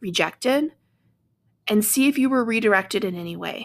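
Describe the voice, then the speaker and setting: Speaking at a moderate pace, a woman shows ordinary pitch variation and some vocal fry. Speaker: podcast host and energy healing practitioner. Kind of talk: casual solo podcast monologue. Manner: conversational, many fillers.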